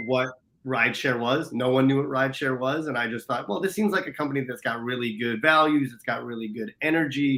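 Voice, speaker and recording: A man speaks at medium pitch with a slight US East Coast accent. His tone is bright and sharp, with ordinary pitch variation. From US East Coast, New Jersey or Philadelphia area. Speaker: business mentor, operations and marketing leader. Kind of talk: casual interview. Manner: passionate, many fillers.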